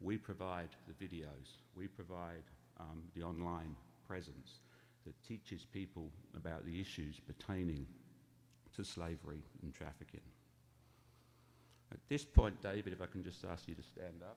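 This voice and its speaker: With an English accent, a man speaks in a very deep, low pitch with vocal fry, ordinary pitch variation and long, frequent pauses. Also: moderate pace, big swings in loudness. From England. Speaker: charity founder. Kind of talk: talk to church congregation. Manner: conversational.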